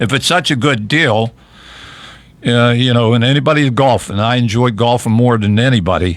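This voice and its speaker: A man talks at a moderate pace with a western Pennsylvania accent. His pitch is medium, and his loudness stays very even. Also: ordinary pitch variation. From Fayette County, southwestern Pennsylvania. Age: 70s. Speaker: local party chairman, radio host. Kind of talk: political talk radio chat. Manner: halting, many restarts.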